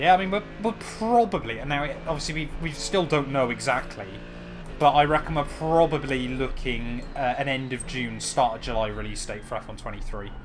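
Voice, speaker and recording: A man with a British accent talks at a fairly quick pace while music plays in the background. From Britain. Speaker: sim racing streamer. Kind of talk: live-stream commentary while gaming. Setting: live stream. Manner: casual, chatty.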